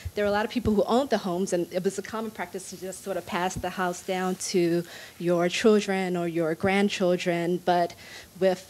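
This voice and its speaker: In a normal speaking voice, a woman talks at a moderate pace with an American accent, medium pitch, fairly even intonation and light background noise. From Washington, D.C. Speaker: assistant professor. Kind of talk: panel discussion. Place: hall. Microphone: handheld.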